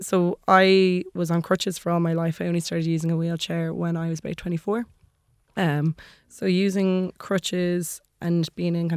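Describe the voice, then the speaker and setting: In an Irish accent, the speaker talks at a fairly quick pace with monotone, flat intonation, in a dry, close sound with no echo on a very clean recording with a silent background. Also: woman. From Maynooth, Ireland. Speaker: freelance journalist and DJ. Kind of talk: panel discussion.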